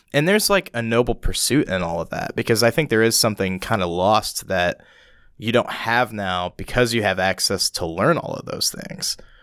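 A man's normal speaking voice at medium pitch, lively in intonation, at a moderate pace. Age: 20s. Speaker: musician and theater technician. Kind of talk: casual chat. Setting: studio.

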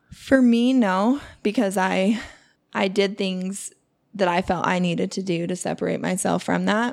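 Over a silent background in a very clean recording, a woman with a plain, everyday voice at medium pitch talks at a fairly slow pace with ordinary pitch variation. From Utah (born in Alaska). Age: 30s. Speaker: coworker guest. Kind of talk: casual chat.

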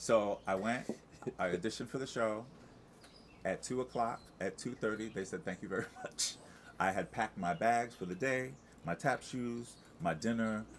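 Speaking with an American accent, a man with a medium pitch talks at a moderate pace with ordinary pitch variation and long, frequent pauses. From Long Island, New York. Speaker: Broadway ensemble performer. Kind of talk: casual interview chat.

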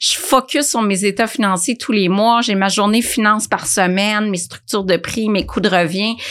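A woman's medium-pitched voice with a Quebec accent, ordinary pitch variation, moderate pace and hardly any pauses, over noticeable background noise. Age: 50s. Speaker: nutritionist and food entrepreneur. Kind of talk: interview conversation.

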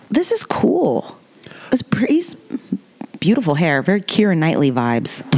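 The speech comes at a moderate pace with long, frequent pauses over noticeable background noise. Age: 30s. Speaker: screenwriter. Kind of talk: casual chat.

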